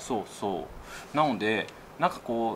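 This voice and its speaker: Here a man speaks with lively intonation. There is light background noise. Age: 30s. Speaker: YouTuber; YouTuber host asking for advice. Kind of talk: casual chat. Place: office.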